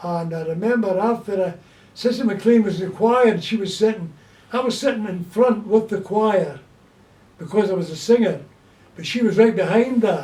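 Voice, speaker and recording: A man speaks at a moderate pace with ordinary pitch variation. His voice is high-pitched yet dark and mellow in tone. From Scotland, Glasgow. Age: 80s+. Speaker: elderly man recalling childhood. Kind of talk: casual chat.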